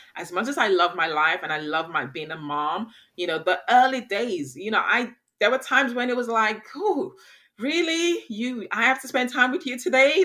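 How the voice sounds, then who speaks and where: On a very clean recording with a silent background, a woman speaks at a moderate pace in a fairly high, bright, sharp voice with vocal fry and very wide pitch swings. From England, Nigerian heritage. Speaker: podcast co-host, mother. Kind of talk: casual chat.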